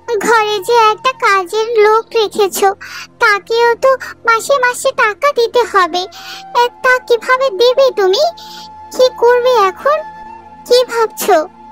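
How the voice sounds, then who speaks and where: In a cartoonish character voice pitched extremely high, a woman speaks at a fairly slow pace over faint background music. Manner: sharp, scornful.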